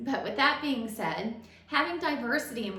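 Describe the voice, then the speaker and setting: In a Southern US accent, a woman with a fairly high pitch uses lively intonation, with audible room echo and noticeable background noise. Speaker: astrologer. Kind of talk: casual monologue about astrology.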